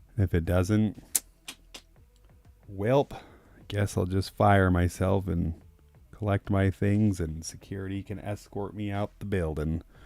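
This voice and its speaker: A soft-spoken man talks at a fairly slow pace with long, frequent pauses, a fairly low pitch, a dark, mellow and relaxed tone, and fairly even intonation. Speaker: artist painting live. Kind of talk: live painting stream chat. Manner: casual, relaxed. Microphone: no lavalier, far from the mic.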